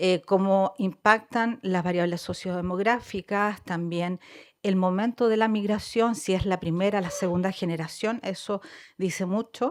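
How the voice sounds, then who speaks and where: A woman with a Chilean accent speaks at a fairly slow pace, keeping her intonation fairly even. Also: medium pitch for a woman. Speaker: social worker and researcher. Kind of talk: research presentation. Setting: conference panel with audience.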